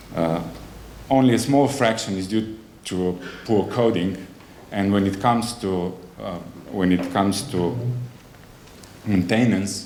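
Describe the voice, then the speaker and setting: A man at a fairly slow pace, with ordinary pitch variation, long and frequent pauses, and audible room echo. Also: fairly low pitch for a man. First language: not English. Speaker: conference speaker, software agency representative. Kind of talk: conference presentation. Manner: halting, many fillers and self-corrections.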